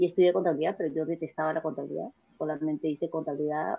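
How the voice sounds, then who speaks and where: Very fast and very deep, a woman speaks low with vocal fry and fairly even intonation. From Peru. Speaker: businesswoman. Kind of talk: interview.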